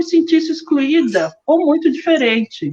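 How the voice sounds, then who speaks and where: A woman speaking at a fairly slow pace with ordinary pitch variation. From Rio de Janeiro, Brazil. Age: 60s. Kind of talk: personal testimony in online panel.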